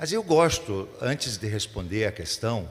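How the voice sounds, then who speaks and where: A man's somewhat breathy voice, very wide in its pitch swings, at a moderate pace. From Rio Grande do Sul interior, Brazil. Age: 70s. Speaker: mayoral candidate. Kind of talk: candidate debate answer. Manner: halting, with many restarts.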